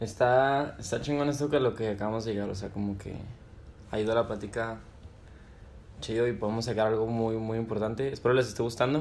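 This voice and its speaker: A man at medium pitch with fairly even intonation, a fairly quick pace, long and frequent pauses, and audible room echo. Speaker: podcast host. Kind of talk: casual chat.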